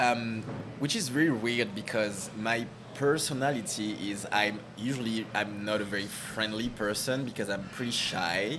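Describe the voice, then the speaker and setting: Over noticeable background noise and audible room echo, a man with a French accent speaks at a moderate pace and medium pitch with ordinary pitch variation. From French Caribbean. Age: 30s. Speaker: marketing director. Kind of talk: interview.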